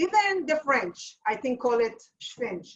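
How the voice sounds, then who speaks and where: A fairly slow pace with an Israeli accent. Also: woman. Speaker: home cook teaching a recipe. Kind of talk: cooking demonstration; casual chat. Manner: halting.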